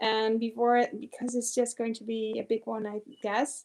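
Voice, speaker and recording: A woman speaks at a moderate pace in a fairly high pitch, with a non-native accent and a dark, mellow tone. Her intonation is monotone and flat, over a quiet background. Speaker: quilting teacher and pattern designer. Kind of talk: live Q&A. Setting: home studio, livestream. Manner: halting, many fillers.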